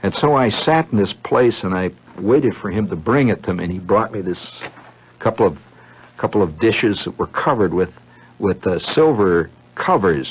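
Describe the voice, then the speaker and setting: Fairly low in pitch, a man with a plain, everyday voice speaks at a moderate pace with lively intonation. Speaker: radio storyteller. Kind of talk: radio monologue. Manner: rambling, conversational.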